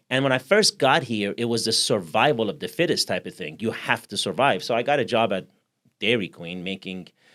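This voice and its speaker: Over a very clean, silent background, a man at medium pitch talks at a fairly quick pace with lively intonation. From Iran. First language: Persian. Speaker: podcast host. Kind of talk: interview conversation.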